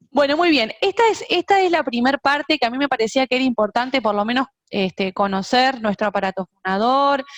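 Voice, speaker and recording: A woman with a Uruguayan accent speaks at a fairly quick pace in a high voice. Her intonation is lively, and the sound is dry and close with no echo. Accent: Uruguayan Spanish (rioplatense). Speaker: music teacher and singer. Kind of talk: online lecture. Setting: video call.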